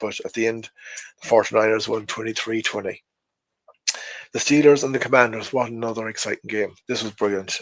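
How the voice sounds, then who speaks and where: With an Irish accent, a man talks with fairly even intonation and long, frequent pauses. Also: medium pitch for a man, moderate pace. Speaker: NFL fan podcaster. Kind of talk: casual talk to camera.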